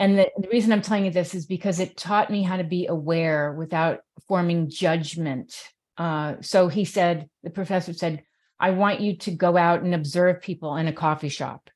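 A normal speaking voice from a woman with an American accent, fairly low in pitch, fairly even in intonation and moderate in pace, on a very clean recording with a silent background. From New York City. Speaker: mental health advocate and radio host. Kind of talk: interview conversation.

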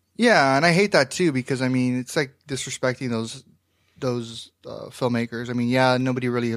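A man with a plain, everyday voice and an American accent talks at a fairly quick pace, with medium pitch and fairly even intonation. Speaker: podcast host and film critic. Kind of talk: casual banter.

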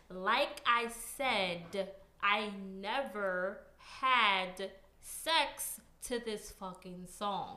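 A woman talks at a very slow pace, with medium pitch and ordinary pitch variation. Audible room echo surrounds her voice. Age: 30s. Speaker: podcast guest. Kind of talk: casual chat.

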